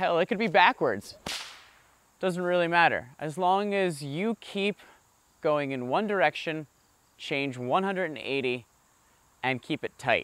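Talking at a very slow pace with long, frequent pauses, a man uses a high pitch and lively intonation in a dry sound with no echo. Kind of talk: explanatory tutorial. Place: garden.

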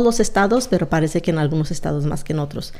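The woman's voice has a dark, mellow tone. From Mexico, Zacatecas; raised in California from age 8. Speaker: retired police officer; podcast guest. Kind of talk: interview, life story. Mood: calm, reflective. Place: studio. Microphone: studio mic.

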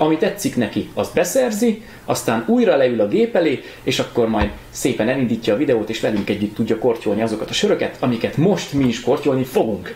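The voice moves at a fairly quick pace, with audible room echo and light background noise. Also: man. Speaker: show host. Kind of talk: casual show host intro. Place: home room.

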